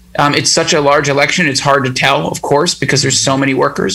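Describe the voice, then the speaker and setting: Talking at a very fast pace, a man has a fairly high pitch. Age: 30s. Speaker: union organizer. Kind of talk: casual interview.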